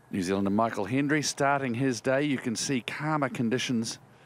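In an ordinary speaking voice, a man of medium pitch talks at a fairly quick pace with ordinary pitch variation, on a very clean recording with a silent background. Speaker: golf commentator. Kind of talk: live golf commentary over highlights. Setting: voiceover on highlight reel. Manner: relaxed, conversational, appreciative.

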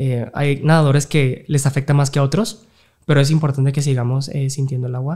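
Over a quiet background, a somewhat breathy voice with a dark, mellow tone moves at a fairly quick pace with fairly even intonation. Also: man, fairly high pitch for a man. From Mexico. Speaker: open water swimmer; guest. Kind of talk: casual interview. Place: studio. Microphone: studio mic.

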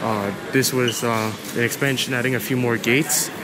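Through loud background noise, a man speaks at a moderate pace. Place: station.

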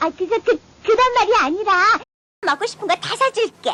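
A woman puts on a cartoonish character voice at an extremely high pitch. She keeps a moderate pace. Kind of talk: anime dub dialogue.

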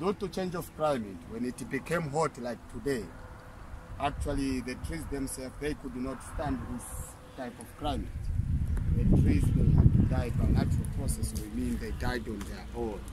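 A man speaks at a moderate pace in a medium pitch, with a dark, mellow tone, ordinary pitch variation, and faint background noise.

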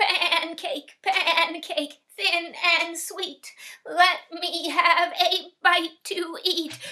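Using a put-on character voice, a woman speaks at a very slow pace and an extremely high pitch. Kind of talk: storytelling performance. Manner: pleading, sing-song.

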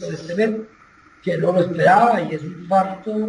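Heard over light background noise with audible room echo, a man speaks at a moderate pace in a high pitch. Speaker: former pastor. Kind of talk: personal testimony. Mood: earnest, somber. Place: home room. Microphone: video call.

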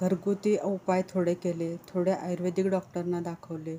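Her tone dark and mellow, a woman talks in a flat monotone. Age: 50s. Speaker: patient. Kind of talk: testimony. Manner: halting.

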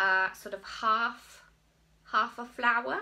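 In a bright, sharp tone, a woman with a fairly high pitch speaks at a very slow pace. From England, Cotswolds. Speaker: crochet designer and magazine editor. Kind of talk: casual video podcast monologue. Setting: filmed at home. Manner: rambling, hesitant. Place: home room. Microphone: phone near.

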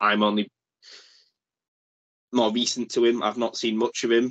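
Nothing much stirs in the background. Delivery comes at a middling speed. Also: man. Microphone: video call.

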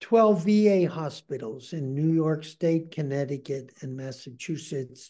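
Against a quiet background, a man with an American accent speaks very slowly in a dark, mellow tone. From Western Pennsylvania. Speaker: psychotherapist and magician; interviewee. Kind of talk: interview. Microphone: webcam.

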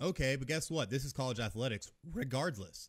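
A loud voice with vocal fry moves at a moderate pace in an animated tone. The background stays quiet. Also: man. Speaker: podcast host ranting about college football. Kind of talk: angry rant. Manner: loud, fired-up, animated. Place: home room. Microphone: studio mic.

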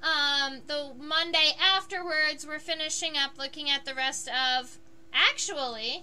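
With noticeable noise behind her, a woman talks in a raised, projected voice at a high pitch, her pitch varying in an ordinary way. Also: fairly slow pace. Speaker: entomologist and live-stream educator. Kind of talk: live-stream tutorial while drawing. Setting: solo live stream at home. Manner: hesitant, many fillers.

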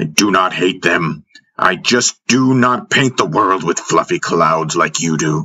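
Putting on a character voice, a man with a low pitch and a bright, sharp tone talks at a fairly slow pace with ordinary pitch variation.

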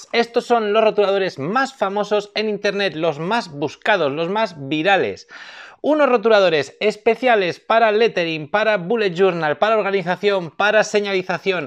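A man speaks at a moderate pace in a high pitch, with ordinary pitch variation, against a quiet background. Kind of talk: product review presentation. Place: shop. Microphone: lapel.

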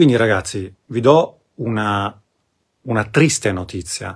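A man's fairly low, somewhat breathy voice with lively intonation against a quiet background. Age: 40s. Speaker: spiritual coach. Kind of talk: live stream talk. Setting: live video stream. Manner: halting. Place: home room. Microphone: phone near.

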